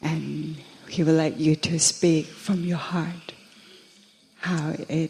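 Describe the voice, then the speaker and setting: There is noticeable background noise as a woman speaks with a Thai accent. Her fairly low voice keeps a fairly even intonation. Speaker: interpreter. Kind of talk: interpreting for a Buddhist monk.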